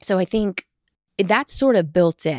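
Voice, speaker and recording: A woman with an American accent and a fairly low pitch speaks with vocal fry, her voice dry and close with no echo on a very clean recording with a silent background. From US South, small-town Texas. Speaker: chief marketing officer. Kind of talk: interview.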